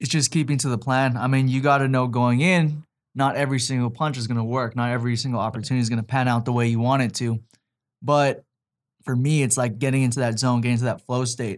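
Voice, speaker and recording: Speaking at a very fast pace, a man holds a medium pitch with fairly even intonation. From Hawaii. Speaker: MMA fighter. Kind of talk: interview.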